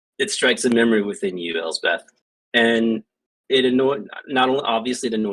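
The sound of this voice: Quiet surroundings behind an unforced reading voice, its pitch varying in an ordinary way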